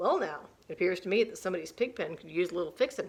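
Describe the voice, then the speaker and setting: A woman puts on a character voice, racing along at a very fast pace with lively intonation at a medium pitch. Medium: read story.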